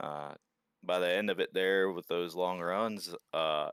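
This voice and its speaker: A man with a very deep, low pitch speaks in an American accent, monotone and flat. The recording is very clean, with a silent background and a dry, close sound with no echo. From US West Coast. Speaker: sim racing driver. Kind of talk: post-race interview.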